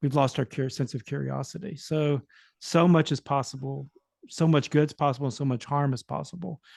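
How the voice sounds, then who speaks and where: Against a quiet background, a man talks at a fairly quick pace in a fairly high, somewhat breathy voice with fairly even intonation and a dry, close sound with no echo. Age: 60s. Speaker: panelist, psychedelic study participant. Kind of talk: panel discussion.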